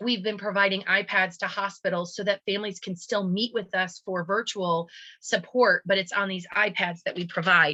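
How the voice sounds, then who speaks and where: A woman of medium pitch talks in a bright, sharp tone with fairly even intonation and hardly any pauses. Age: 40s. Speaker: support group volunteer, heart patient's parent. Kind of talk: webinar presentation. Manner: fast.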